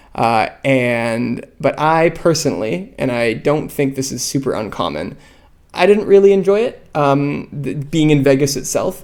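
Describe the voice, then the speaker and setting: A plain, everyday voice in a Canadian accent, with lively intonation and a fairly slow pace. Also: man, fairly high pitch for a man. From Canada. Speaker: podcast host, card game player. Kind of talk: solo podcast commentary. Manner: casual, many fillers (um, uh).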